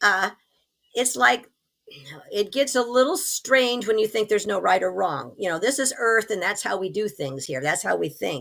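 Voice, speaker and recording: Vocal fry runs through a woman's speech as she moves at a moderate pace with very wide pitch swings. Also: medium pitch for a woman. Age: 70s. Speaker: author, near-death experiencer. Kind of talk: interview.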